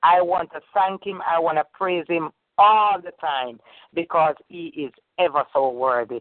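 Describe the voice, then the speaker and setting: A woman with a fairly low pitch speaks fairly slowly in an ordinary speaking voice, with ordinary pitch variation. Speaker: caller sharing testimony. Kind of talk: testimony. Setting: phone call.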